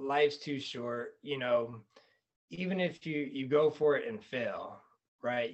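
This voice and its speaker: Speaking very slowly with an American accent, a man uses a fairly high pitch and ordinary pitch variation. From North Carolina (Fayetteville). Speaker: real estate investor and flooring salesman. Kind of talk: casual interview.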